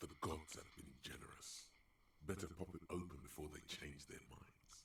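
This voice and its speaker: Clear background noise runs under a man speaking at a moderate pace, his very deep, low pitch held in fairly even intonation. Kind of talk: dramatic game narration. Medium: actual play. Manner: theatrical, wry.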